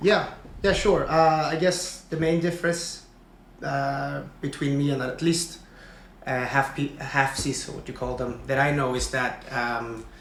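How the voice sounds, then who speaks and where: With a Swedish accent, a man with a fairly high pitch and ordinary pitch variation talks at a fairly slow pace amid audible room echo. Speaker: engineer, podcast guest. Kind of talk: casual interview. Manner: halting, many fillers.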